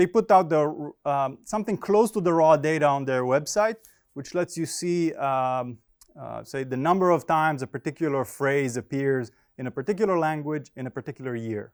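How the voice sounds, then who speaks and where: Lively intonation comes at a moderate pace. The recording is very clean, with a silent background and a dry, close sound with no echo. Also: man, fairly high pitch for a man. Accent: Israeli. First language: Hebrew. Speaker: finance professor. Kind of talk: academic conference presentation. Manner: halting, many fillers.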